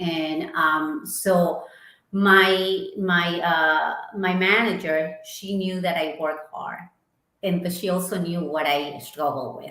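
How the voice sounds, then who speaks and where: A woman with an Ecuadorian accent speaks very slowly, with audible room echo around her. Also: fairly even intonation. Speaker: marketing executive. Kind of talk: interview.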